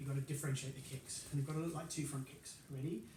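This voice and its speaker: This man talks at a very fast pace, his pitch fairly high and his intonation fairly even. Audible room echo surrounds his voice. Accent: British. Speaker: karate instructor. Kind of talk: online exercise class instruction. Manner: quieter than usual.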